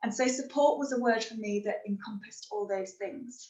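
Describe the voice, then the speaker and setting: A woman speaks in a Liverpool accent at a moderate pace. Her pitch is fairly high, with ordinary pitch variation. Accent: Scouse. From Liverpool, northern England. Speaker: happiness and resilience trainer. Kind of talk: webinar talk.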